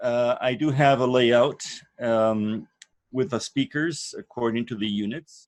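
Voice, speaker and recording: At a fairly slow pace, a man with medium pitch and ordinary pitch variation is heard in a dry, close sound with no echo. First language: not English. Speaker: course leader. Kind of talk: online course introduction. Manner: hesitant, many fillers.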